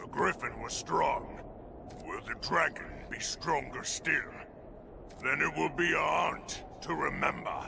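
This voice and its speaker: Against clear background noise, a man does a put-on character voice at a fairly slow pace. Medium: video game.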